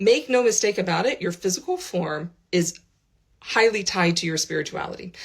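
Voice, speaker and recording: A woman with an American accent speaks at a moderate pace in a somewhat breathy voice. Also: medium pitch for a woman, lively intonation. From United States. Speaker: spiritual teacher. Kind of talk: vlog. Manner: casual, with frequent fillers.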